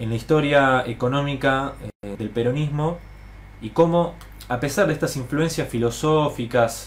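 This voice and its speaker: Somewhat breathy and at a medium pitch, a man talks at a fairly slow pace with ordinary pitch variation and big swings in loudness, while room echo is audible. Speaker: political educator. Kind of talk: lecture. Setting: live stream to online audience.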